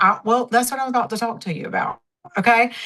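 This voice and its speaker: A woman talks in a Southern accent. Her pitch is fairly high. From Mississippi, US South. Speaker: network marketing leader, former dermatology nurse. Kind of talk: training talk on a team call.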